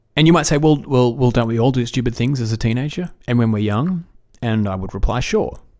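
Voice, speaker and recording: A man at a fairly quick pace and medium pitch, with an Australian accent and ordinary pitch variation, on a very clean recording with a silent background. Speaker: podcast host. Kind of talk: solo podcast commentary. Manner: casual, with frequent fillers.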